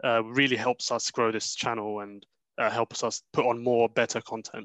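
A man with a British accent speaks at a medium pitch in a monotone with flat intonation, his tone bright and sharp, the sound dry and close with no echo against a quiet background. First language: Arabic. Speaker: podcast co-host. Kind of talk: casual chat.

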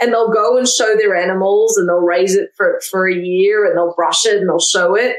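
A woman with an Australian accent at medium pitch, moderate pace, fairly even intonation, very even loudness and hardly any pauses. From Australia, Melbourne. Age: 40s. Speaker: barbecue expert and cookbook author. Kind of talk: casual interview chat.

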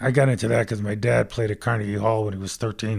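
On a very clean recording with a silent background, a man speaks at a very fast pace and a fairly low pitch. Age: 70s. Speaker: retired corporate CEO. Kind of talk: casual interview chat. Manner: blunt, straight-talking.

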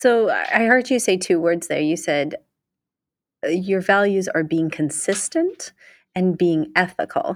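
A woman speaks with lively intonation in a plain, everyday voice. The recording is very clean, with a silent background. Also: medium pitch for a woman, fairly slow pace. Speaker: podcast co-host. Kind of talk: interview.

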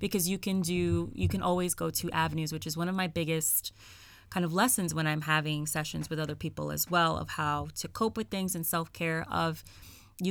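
This very clean recording has a silent background. A woman with an American accent speaks at a moderate pace. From New York City (the Bronx). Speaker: social worker. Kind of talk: casual interview. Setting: podcast recording.

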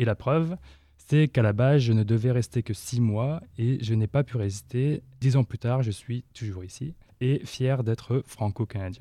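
A man with a plain, everyday voice speaks at a fairly slow pace, with a medium pitch and ordinary pitch variation, in a very clean recording with a silent background. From northern France. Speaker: volunteer podcast editor. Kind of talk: self-introduction.

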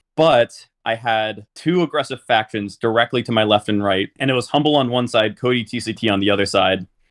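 Speaking at a fairly quick pace, a man with a medium pitch and ordinary pitch variation has an unremarkable speaking voice. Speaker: board game tournament finalist. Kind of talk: casual interview chat.

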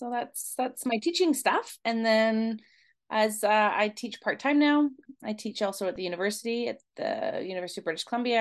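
This woman has a plain, everyday voice with a fairly high pitch and lively intonation. The background is quiet. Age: 50s. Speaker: elementary school teacher and researcher. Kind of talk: interview.

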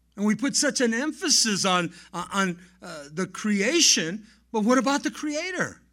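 A man with an American accent speaks in a raised, projected voice at a fairly slow pace. His high-pitched voice is bright and sharp, with very wide pitch swings. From Southern California, Los Angeles area. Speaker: pastor. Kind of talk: sermon.

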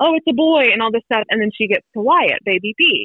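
A woman with an American accent speaks at a moderate pace in a fairly high pitch with lively intonation. She has an unremarkable speaking voice. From North Carolina, Wilmington. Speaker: mother of three, podcast guest. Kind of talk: casual interview chat.

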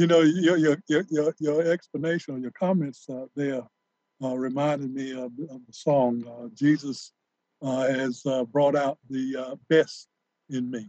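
A man with a plain, everyday voice speaks at a fairly slow pace, his pitch fairly high. His loudness swings widely while his intonation stays fairly even. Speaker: radio co-host, law professor. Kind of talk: interview. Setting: studio.

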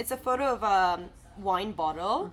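A woman talks with lively intonation. Her voice carries vocal fry. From Turkey. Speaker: podcast co-host. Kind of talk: casual chat. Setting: cafe.

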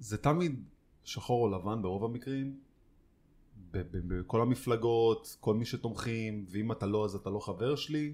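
A man with an ordinary speaking voice at a medium pitch, fairly slow, with ordinary pitch variation. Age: 30s. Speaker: podcast co-host. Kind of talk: casual chat.

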